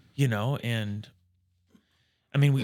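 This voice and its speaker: A man with an American accent at a fairly quick pace, with ordinary pitch variation. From rural Nebraska. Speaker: financial planner. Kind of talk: casual chat.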